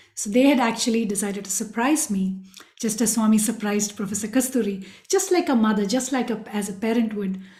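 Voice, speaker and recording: A woman with a Tamil accent speaks fairly quickly at a fairly high pitch, in a dark, mellow, somewhat breathy tone. Her pitch varies in an ordinary way, and the room echo is audible. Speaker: spiritual speaker, former student. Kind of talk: personal testimony talk.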